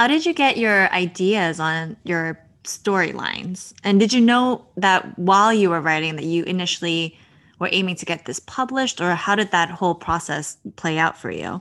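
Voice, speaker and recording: A woman with an American accent has an unremarkable speaking voice at a medium pitch, using ordinary pitch variation at a moderate pace in a quiet background. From New Jersey. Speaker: podcast host. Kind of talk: interview; scripted introduction.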